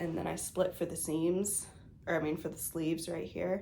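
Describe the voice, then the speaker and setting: A woman speaks in a fairly low pitch. Audible room echo surrounds her voice. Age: 30s. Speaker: knitting podcaster. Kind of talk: casual show-and-tell vlog. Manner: casual, many filler words.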